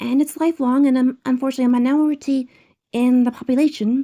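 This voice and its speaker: Quiet and fairly quick, a woman speaks at a high pitch in a dark, mellow tone with monotone, flat intonation and a dry, close sound with no echo. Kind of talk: educational talk to camera.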